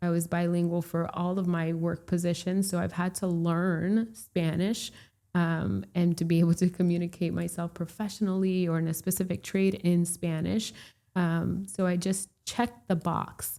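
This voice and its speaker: Against a silent background in a very clean recording, a woman speaks at a moderate pace in a fairly low, dark, mellow voice with monotone, flat intonation. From Puerto Rico, raised in Florida from age three. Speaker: real estate broker. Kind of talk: casual interview chat.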